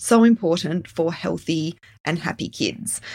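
On a very clean recording with a silent background, a woman with a plain, everyday voice speaks fairly slowly with lively intonation. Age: 40s. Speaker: children's health practitioner and podcast host. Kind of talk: solo educational podcast.

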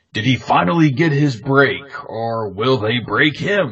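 A man puts on a character voice at a medium pitch. He speaks at a fairly slow pace with lively intonation. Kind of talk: promotional tagline. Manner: dramatic, dramatic.

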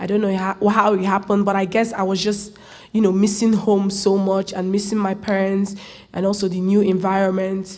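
A woman speaks in a flat monotone. Audible room echo surrounds her voice. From Nigeria, rural area. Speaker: college student. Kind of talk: personal storytelling.

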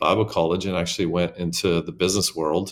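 A man with a Southwestern US accent speaks at a fairly quick pace in a very deep, low voice. The recording is very clean, with a silent background. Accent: American (Southwest). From small-town Arizona. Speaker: megachurch senior pastor. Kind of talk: interview conversation.

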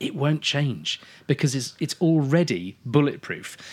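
A man with an English accent talks on a very clean recording with a silent background. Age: 40s. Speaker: wine expert. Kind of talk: casual chat. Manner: animated.

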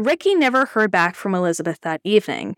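A woman with a normal speaking voice talks at a moderate pace and a medium pitch, with lively intonation. The sound is dry and close, with no echo. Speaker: podcast host. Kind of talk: true-crime narration. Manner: measured, even storytelling pace; serious, somber tone.

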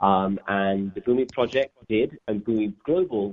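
A man with a London accent speaks at a fairly low pitch. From England, grew up in Northwest London. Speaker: environmental nonprofit co-founder. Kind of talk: interview. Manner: halting, many fillers and repeats.

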